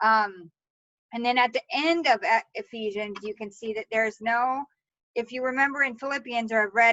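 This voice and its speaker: Her pace is moderate and her pitch varies in an ordinary way. The woman leaves long, frequent pauses. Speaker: bible study leader. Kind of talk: bible study teaching. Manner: halting, many fillers.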